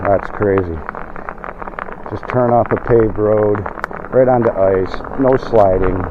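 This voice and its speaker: Over noticeable background noise, a man talks fairly slowly in a fairly low voice with fairly even intonation and long, frequent pauses. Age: 60s. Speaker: e-bike vlogger. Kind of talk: casual ride vlog talk. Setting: outdoors riding a bike.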